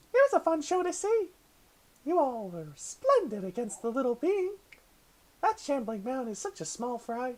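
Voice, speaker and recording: A put-on character voice, high and cheerful, moves at a moderate pace with very wide pitch swings. Long, frequent pauses break it up. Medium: actual play. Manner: cheerful, cutesy, giggly.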